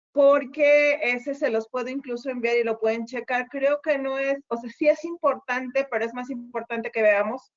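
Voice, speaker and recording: At a moderate pace and with hardly any pauses, a woman talks in a high pitch with fairly even intonation. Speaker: university lecturer. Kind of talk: online lecture. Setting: video call.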